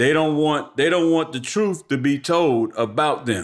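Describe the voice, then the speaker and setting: Recorded very cleanly against a silent background, a man speaks with lively intonation. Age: 50s. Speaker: podcast host. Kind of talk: solo commentary podcast. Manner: casual, profane.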